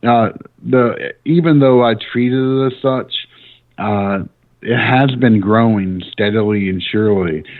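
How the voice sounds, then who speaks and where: With a Southern US accent, a man talks at a medium pitch. His pitch varies in an ordinary way. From US South, small-town Tennessee. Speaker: demonology podcaster. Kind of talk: casual interview chat. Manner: hesitant, many fillers.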